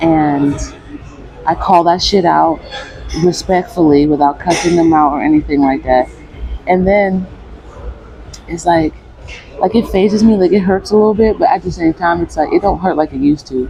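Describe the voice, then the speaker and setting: A soft-spoken woman with a fairly low pitch and ordinary pitch variation leaves long, frequent pauses, with noticeable background noise behind her. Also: moderate pace. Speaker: vlogger. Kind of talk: personal vlog monologue. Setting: gym.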